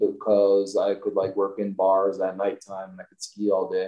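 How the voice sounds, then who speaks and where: The voice belongs to a man. He talks with an American accent. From US Midwest, Milwaukee area, Wisconsin. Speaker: ski company owner. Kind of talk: casual interview chat.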